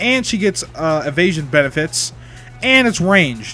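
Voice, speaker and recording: Music plays behind a man with a fairly high pitch. He talks at a moderate pace with lively intonation. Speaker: video game streamer. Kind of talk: casual chat. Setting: live stream. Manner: loud.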